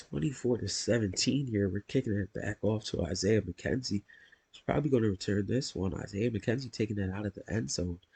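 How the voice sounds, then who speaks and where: A man's fairly low, somewhat breathy voice with ordinary pitch variation, at a moderate pace, in a dry, close sound with no echo. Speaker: gaming YouTuber. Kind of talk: gameplay play-by-play commentary.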